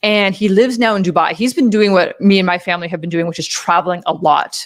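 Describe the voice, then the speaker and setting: A woman's plain, everyday voice with a Canadian accent, fairly quick pace and fairly even intonation. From Canada. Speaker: live-stream host. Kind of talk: casual chat. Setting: live stream with chat.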